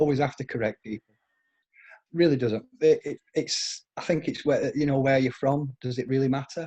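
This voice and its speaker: Recorded with a dry, close sound and no echo, a man speaks at a moderate pace in a medium pitch, somewhat breathy, with fairly even intonation. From northern England, Sheffield, Yorkshire. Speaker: participant on group call, former insurance salesman. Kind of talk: casual chat.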